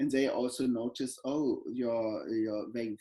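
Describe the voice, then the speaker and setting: A man with a German accent speaks at a moderate pace. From Germany, Berlin. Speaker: professor. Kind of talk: interview. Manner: halting.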